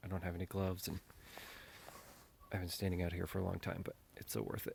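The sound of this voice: In a put-on character voice, a man delivers raspy, very deep, low-pitched speech at a very fast pace with monotone, flat intonation.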